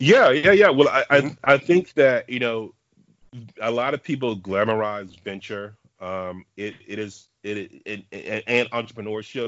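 A man with an American accent has an unremarkable speaking voice at a medium pitch, talking at a fairly slow pace with ordinary pitch variation and big swings in loudness. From Dallas, Texas. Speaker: venture capitalist. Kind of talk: interview.

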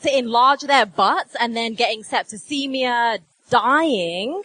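In an English accent, a woman speaks very slowly in a high, raised, projected voice with lively intonation. The sound is dry and close, with no echo. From England. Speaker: doctor and journalist. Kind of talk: live comedy quiz show. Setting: stage with live audience.

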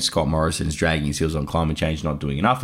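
With an Australian accent, a man is talking. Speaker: podcast host. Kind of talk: casual chat; interview.

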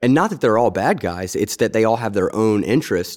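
Man with a plain, everyday voice at a fairly quick pace. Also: very clean recording, silent background. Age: 30s. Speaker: veterans podcast host, military veteran. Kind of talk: casual interview.

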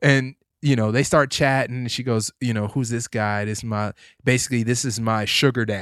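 A man's plain, everyday voice at a medium pitch and moderate pace, with fairly even intonation and a dry, close sound with no echo. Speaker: podcast co-host. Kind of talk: casual chat. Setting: studio.

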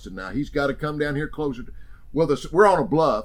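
The speaker is a man with an American accent. His voice carries vocal fry. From Oklahoma. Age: 60s. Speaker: hunting TV personality. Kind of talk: interview storytelling.

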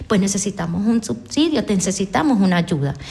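A woman speaks at a fairly quick pace, her medium pitch showing ordinary variation. Noticeable background noise is present. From Venezuela, Portuguesa (llanos). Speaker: head of an aid organization. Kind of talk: radio interview. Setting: radio studio.

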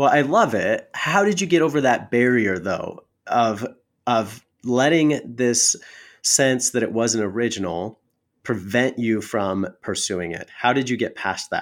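Lively intonation in a normal speaking voice with an American accent, at a fairly slow pace, in a very clean recording with a silent background. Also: man, medium pitch for a man. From Wyoming, US. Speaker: podcast host. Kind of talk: interview.

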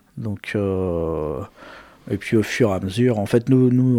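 The tone is dark and mellow. A man speaks at a fairly low pitch. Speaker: metal musician and studio owner. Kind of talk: casual interview. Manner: hesitant.

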